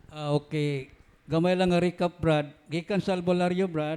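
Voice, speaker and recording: The speech comes at a moderate pace with monotone, flat intonation. The recording is very clean, with a silent background. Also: man. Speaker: forum moderator reading questions. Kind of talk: reading aloud.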